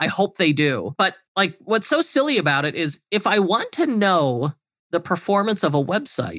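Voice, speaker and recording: A man speaks at a moderate pace in a high pitch, with very wide pitch swings and a bright, sharp tone. The recording is very clean with a silent background and a dry, close sound with no echo. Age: 30s. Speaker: e-commerce agency owner and consultant. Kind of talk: interview.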